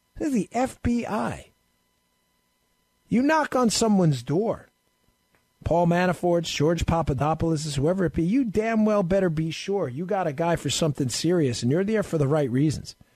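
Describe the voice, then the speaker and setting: Against a quiet background, the speaker uses an animated tone and lively intonation at a moderate pace. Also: man, high pitch for a man. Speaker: fill-in radio talk show host, former police and federal agent. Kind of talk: talk radio monologue. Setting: home studio. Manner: loud.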